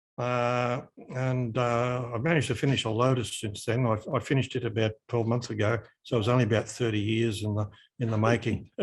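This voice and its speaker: In an Australian accent, a man talks at a fairly quick pace, his medium-pitched voice monotone and flat. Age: 70s. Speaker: hobby shop owner. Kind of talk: casual interview.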